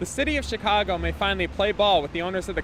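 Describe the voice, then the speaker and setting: Noticeable background noise sits behind the recording. A man speaks very fast in a high pitch. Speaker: TV news reporter. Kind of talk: TV news reporter delivery.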